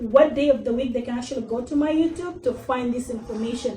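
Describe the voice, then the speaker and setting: Amid noticeable background noise and audible room echo, a woman speaks at a fairly quick pace in a high voice with ordinary pitch variation. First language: Arabic. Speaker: digital marketing consultant and workshop speaker. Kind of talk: workshop presentation. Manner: casual, with fillers.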